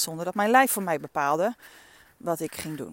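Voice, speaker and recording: Fairly quick and with lively intonation, a woman speaks in a fairly low pitch. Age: 50s. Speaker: coach and podcast host. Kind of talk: reflective solo monologue. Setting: outdoors, walking in the dunes. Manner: casual, with frequent fillers.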